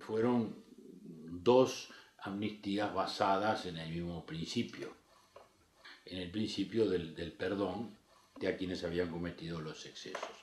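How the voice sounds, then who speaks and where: A man with a very deep, low pitch, a fairly slow pace and ordinary pitch variation. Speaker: politician. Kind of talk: interview. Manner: formal.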